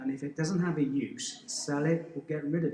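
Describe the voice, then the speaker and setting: A man's fairly high voice with a Welsh accent, at a moderate pace with fairly even intonation. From Wales, South Wales valleys. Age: 40s. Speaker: teacher and endurance runner. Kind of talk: podcast interview. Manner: halting, with repeated restarts.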